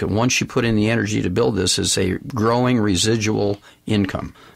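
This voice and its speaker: Fairly even in intonation, a man talks at a moderate pace with a fairly low pitch. He has a plain, everyday voice. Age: 60s. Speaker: supplement company executive and doctor. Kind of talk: interview / sales pitch.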